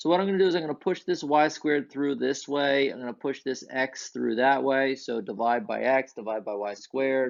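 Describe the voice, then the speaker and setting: A plain, everyday voice moves at a fairly quick pace with hardly any pauses. Its pitch variation is ordinary. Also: man, medium pitch for a man. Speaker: math teacher. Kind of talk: lecture.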